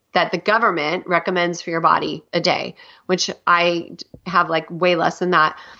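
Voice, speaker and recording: In a normal speaking voice, a woman talks at a medium pitch and a moderate pace against a quiet background. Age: 50s. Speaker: health coach. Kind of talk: interview.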